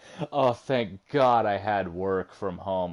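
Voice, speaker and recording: Against a quiet background, a man with a fairly low pitch and ordinary pitch variation speaks in a normal speaking voice. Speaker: video game streamer. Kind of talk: casual chat.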